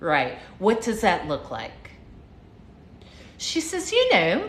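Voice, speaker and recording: A woman with an American accent at a very slow pace, with audible room echo. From United States. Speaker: livestream motivational speaker, former flight attendant. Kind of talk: casual livestream storytelling. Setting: live stream. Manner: animated, repetitive.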